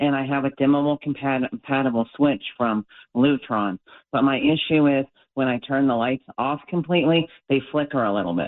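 A man with a normal speaking voice talks at a moderate pace, his pitch fairly high and its variation ordinary. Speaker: caller. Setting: phone call.

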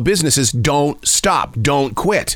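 Over noticeable background noise, a man with an American accent talks with lively intonation. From Montana. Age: 50s. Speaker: radio host. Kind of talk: interview; scripted narration.

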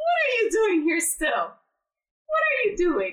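Putting on a squeaky character voice, a woman speaks very slowly at an extremely high pitch for a woman with very wide pitch swings.

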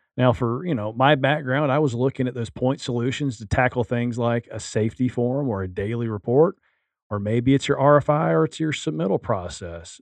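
A man with an unremarkable speaking voice talks at a fairly quick pace and medium pitch, with lively intonation, against a quiet background. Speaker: construction tech podcast co-host. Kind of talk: casual banter.

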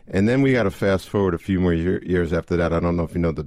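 Ordinary pitch variation from a man in an American accent. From New York City area. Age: 50s. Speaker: entrepreneur. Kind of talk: talk radio interview. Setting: radio studio.

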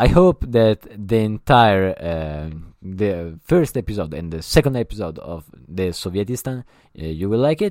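A man speaks with an Italian accent at a fairly low pitch. His intonation is lively and his pace moderate. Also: dry, close sound with no echo, very clean recording, silent background. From Italy. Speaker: podcast host. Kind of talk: solo podcast monologue. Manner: halting, many fillers.

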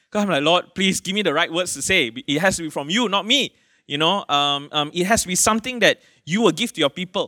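A man with a Malaysian accent, high-pitched for a man, with a bright, sharp tone, lively intonation and a fairly quick pace, on a very clean recording with a silent background. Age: 40s. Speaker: pastor. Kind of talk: sermon. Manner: casual, conversational preaching with fillers.

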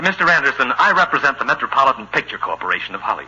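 Putting on a character voice, a man rattles along at a very fast pace and medium pitch, his bright, sharp tone carrying a husky, rough edge and big pitch swings.

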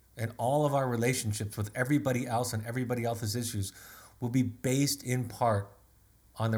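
A man talks at a very fast pace with a medium pitch. His voice is somewhat breathy, with fairly even intonation. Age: 50s. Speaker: family therapist and author. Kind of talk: solo webinar talk.

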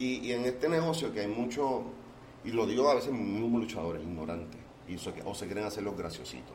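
This man's intonation is lively, his pitch medium. Audible room echo surrounds his voice. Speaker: podcast host. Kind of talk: casual interview. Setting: restaurant.

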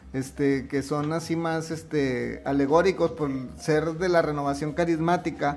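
Noticeable background noise sits under a man's fairly high-pitched voice. His intonation is monotone and flat. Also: fairly slow pace. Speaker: podcast host and musician. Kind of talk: casual chat.

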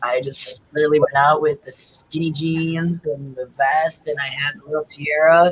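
A man with an American accent has a somewhat breathy, fairly high-pitched voice and a moderate pace. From New York. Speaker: drag king. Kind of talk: casual chat.

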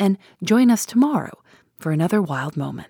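Moderate pace and lively intonation from a woman with a plain, everyday voice, in dry, close sound with no echo. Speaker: podcast host. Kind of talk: scripted narration.

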